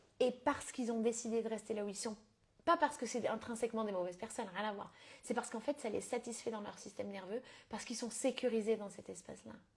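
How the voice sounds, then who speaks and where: A woman's fairly high, somewhat breathy voice at a very fast pace, with fairly even intonation. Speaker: business coach. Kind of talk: live stream coaching talk. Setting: live stream. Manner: casual with English code-switching.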